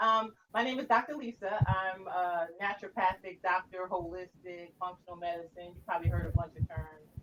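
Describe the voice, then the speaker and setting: A woman speaks at a moderate pace and a medium pitch, with ordinary pitch variation and hardly any pauses. Noticeable background noise can be heard. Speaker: naturopathic doctor and talk show co-host. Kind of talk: casual chat. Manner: animated.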